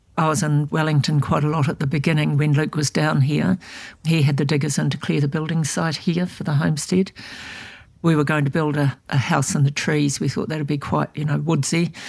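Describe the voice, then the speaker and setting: A woman's very deep, low voice, somewhat breathy, with a New Zealand accent and fairly even intonation, in a very clean recording with a silent background. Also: fairly quick pace. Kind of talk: interview.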